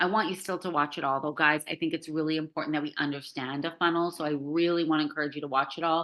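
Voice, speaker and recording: A woman speaks at a very fast pace. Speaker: online course coach. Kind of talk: live group video call tutorial. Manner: casual, filler-heavy.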